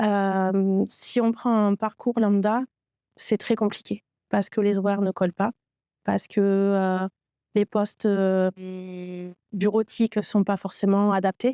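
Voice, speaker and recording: Very slowly, with long, frequent pauses, a woman speaks in a medium pitch and a dark, mellow tone, her intonation monotone and flat and her loudness very even. The recording is very clean and dry, close with no echo, over a silent background. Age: 30s. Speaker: trainee in IT training program. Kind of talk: testimony. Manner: halting, many hesitations.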